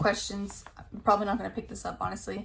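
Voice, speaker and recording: A woman speaking at a fairly quick pace, with audible room echo. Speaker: beauty YouTuber. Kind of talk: casual product review vlog. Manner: casual, filler-heavy.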